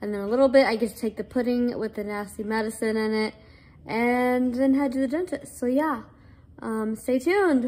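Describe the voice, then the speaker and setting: At a moderate pace, a woman speaks in a high voice with ordinary pitch variation. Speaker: vlogger. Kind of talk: casual vlog chat.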